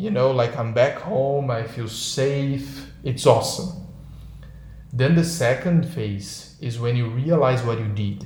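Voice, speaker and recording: Over noticeable background noise, a man with a Brazilian accent talks very slowly at a medium pitch. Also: ordinary pitch variation. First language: Portuguese. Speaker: podcast co-host. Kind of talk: casual chat. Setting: video call. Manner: animated.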